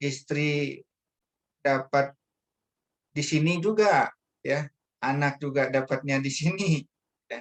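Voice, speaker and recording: This man speaks with a Bangka accent at a very slow pace, his pitch fairly high. The sound is dry and close, with no echo. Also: ordinary pitch variation. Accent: Sumatran (Bangka) accent, per own remark. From Indonesia, Bangka Belitung (Pangkal Pinang). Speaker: religious speaker. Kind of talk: religious talk. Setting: online meeting. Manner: hesitant, many fillers.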